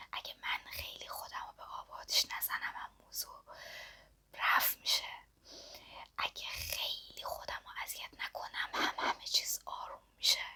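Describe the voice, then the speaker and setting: Whispering at a moderate pace, a woman lets her loudness swing widely. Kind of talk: ASMR whisper talk to camera. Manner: soft-spoken, whispering.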